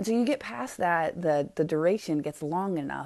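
Her voice sits somewhat low. The woman's tone comes across dark and mellow. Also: quiet background. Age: 40s. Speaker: podcast host. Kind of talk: solo monologue. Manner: casual, with fillers.

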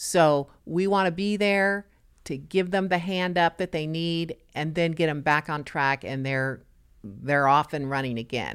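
A woman with an American accent speaks at a fairly slow pace in a very deep, low voice, with ordinary pitch variation, on a very clean recording with a silent background. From US West Coast, Los Angeles. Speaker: nonprofit executive director. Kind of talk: interview.

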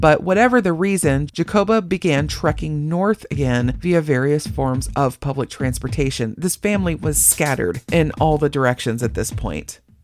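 Over noticeable background noise, a woman with a very deep, low pitch talks at a moderate pace in an animated tone with very wide pitch swings. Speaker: true crime podcast host. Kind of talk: true-crime narration with dark humor, scripted storytelling. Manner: wry, animated, conversational; steady, measured storyteller pace.

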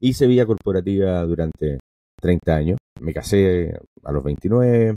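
A man speaking with ordinary pitch variation. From Venezuela, raised in American household; career in Chile. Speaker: entrepreneur and university professor. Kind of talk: interview conversation.

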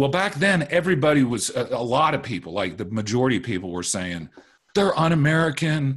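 A man's pitch swings very widely. He speaks at a fairly quick pace. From moved around a lot, military family. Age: 40s. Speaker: lawyer. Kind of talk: interview.

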